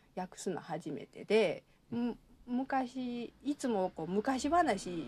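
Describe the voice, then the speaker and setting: A woman with a Kansai accent speaks very slowly in a somewhat breathy, fairly high voice, with very wide pitch swings and big swings in loudness. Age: 30s. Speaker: anthropology doctoral student and literary translator. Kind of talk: casual chat.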